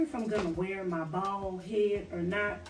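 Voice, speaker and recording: Over faint background music, a woman talks with ordinary pitch variation in a room with audible echo. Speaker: vlogger. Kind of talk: casual vlog chat. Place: home room. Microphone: camera far.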